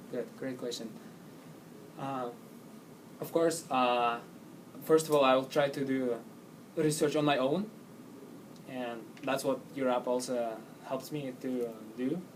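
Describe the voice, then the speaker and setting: Pausing long and often, a man speaks at a fairly slow pace and medium pitch with fairly even intonation, and the room echo is audible. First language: not English. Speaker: job interview candidate. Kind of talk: job interview answers. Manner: halting.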